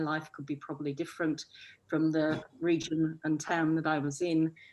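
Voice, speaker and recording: A woman's very deep, low voice with a northwest English accent, fairly slow and in a monotone, flat intonation. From northwest England. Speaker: arts festival director. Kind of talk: panel discussion.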